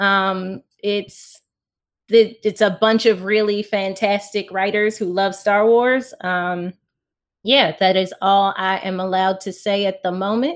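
A woman speaks in a plain, everyday voice at a medium pitch, fairly slowly and with fairly even intonation, on a very clean recording with a silent background. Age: 30s. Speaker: author. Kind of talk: casual chat.

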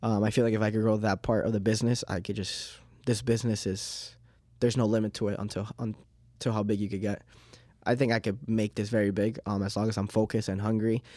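A man's fairly low, dark, mellow voice at a very fast pace in a monotone, flat intonation, on a very clean recording with a silent background. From Uruguay, raised in Miami then Massachusetts. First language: Spanish. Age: 20s. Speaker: cleaning business owner. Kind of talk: interview. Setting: studio. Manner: many filler ums, conversational.

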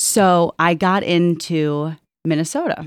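Dry and close with no echo, a woman's very deep, low voice carries fairly even intonation. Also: very clean recording, silent background. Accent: Midwestern American. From northwest Ohio. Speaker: hospital operations executive. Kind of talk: casual interview. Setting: auditorium.

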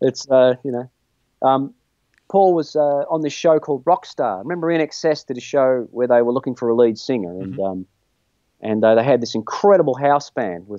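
With an Australian accent, a man speaks at a moderate pace with a medium pitch, lively intonation, and a dark, mellow tone. The sound is dry and close with no echo, over a quiet background. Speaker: guitarist. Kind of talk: casual chat. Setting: video call from home studio.

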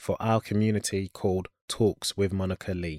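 The tone is dark and mellow, delivered at a moderate pace. The recording is very clean with a silent background, and the sound is dry and close with no echo. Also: man. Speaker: podcast host interviewer. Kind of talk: casual interview chat.

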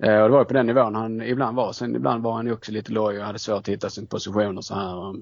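Very fast, with hardly any pauses, a man's fairly low voice in fairly even intonation. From Skåne, Österlen (southern Sweden). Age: 30s. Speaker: football fan site editor and teacher. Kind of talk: casual interview.

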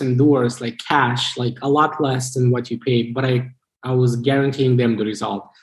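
A man speaks in a somewhat breathy voice. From Moldova. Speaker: business coach. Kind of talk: interview.

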